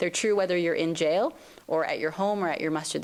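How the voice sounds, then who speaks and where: A woman's fairly low voice at a very fast pace, amid noticeable background noise. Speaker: civil rights advocate. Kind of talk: lecture.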